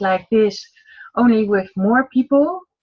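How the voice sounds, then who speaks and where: A woman speaks with a Dutch accent at a fairly high pitch. Her voice is somewhat breathy. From Netherlands. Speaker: online marketing entrepreneur. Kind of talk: casual chat. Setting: video call. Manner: halting.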